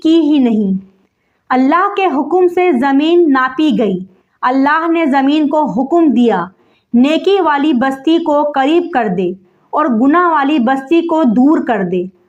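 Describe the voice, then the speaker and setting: A woman speaks with a high pitch and lively intonation. Her loudness stays very even throughout. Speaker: Islamic lecturer. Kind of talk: Islamic sermon (bayan) to an audience. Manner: earnest, heart-touching, storytelling.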